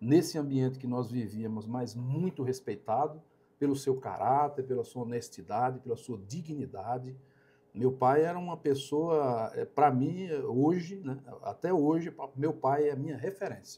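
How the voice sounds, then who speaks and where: This man has a fairly high pitch, a dark, mellow tone that is somewhat breathy, ordinary pitch variation, and a fairly slow pace. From Brazil, Alagoas interior. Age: 60s. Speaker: company operations director. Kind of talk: podcast interview. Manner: halting, with many fillers and repetitions.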